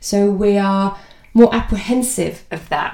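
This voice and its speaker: Speaking at a fairly slow pace, a woman of medium pitch has a warm, animated tone, and audible room echo carries her voice. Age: 40s. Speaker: podcast host and diversity consultant. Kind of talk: solo podcast talk. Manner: warm and animated.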